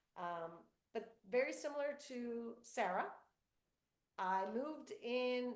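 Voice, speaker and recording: A woman is speaking. There is audible room echo around her voice. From US South, North Florida, Cuban-American family. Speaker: children's book author. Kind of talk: author Q&A with school students.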